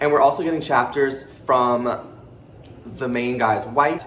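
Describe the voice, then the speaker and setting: An animated, medium-pitched male voice with audible room echo. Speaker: booktuber. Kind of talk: casual book review vlog. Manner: fast.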